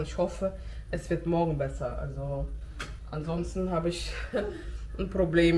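A woman speaks at a fairly slow pace. There is light background noise. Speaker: home vlogger. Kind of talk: casual vlog chat. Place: kitchen.

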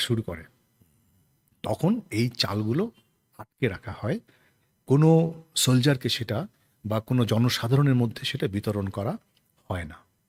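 A man at medium pitch sounds somewhat breathy, using lively intonation and big swings in loudness, in a dry, close sound with no echo. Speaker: stage actor. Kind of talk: interview.

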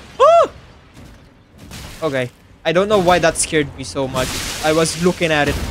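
With noticeable noise behind him, a man talks in a fairly high pitch that moves in an ordinary way. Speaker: gaming streamer. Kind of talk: live gameplay commentary.

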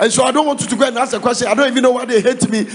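With ordinary pitch variation, a man speaks at an extremely high pitch. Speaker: preacher. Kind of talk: sermon. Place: hall. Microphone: handheld.

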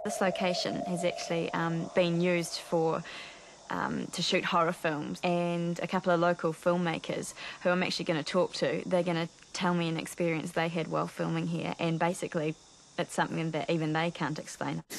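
There is light background noise, and the sound is dry with no echo. A woman speaks at a fairly quick pace. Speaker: TV presenter. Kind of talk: piece to camera. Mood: hushed, uneasy. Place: street.

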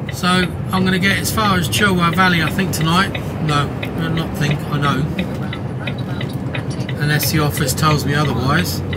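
Loud background noise fills the recording. The pace is moderate, broken by long, frequent pauses. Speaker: lorry driver vlogger. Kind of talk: casual vlog chat. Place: car.

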